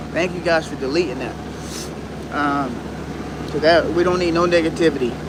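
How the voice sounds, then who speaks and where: A man speaks in a high pitch. There is noticeable background noise. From Detroit, Michigan. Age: 30s. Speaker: YouTuber. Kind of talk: livestream casual talk. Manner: halting.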